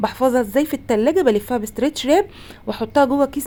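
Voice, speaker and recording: A woman talks at a fairly quick pace in a dark, mellow tone. Her pitch varies in an ordinary way. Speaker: home cooking channel host. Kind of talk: cooking tutorial. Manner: casual, conversational.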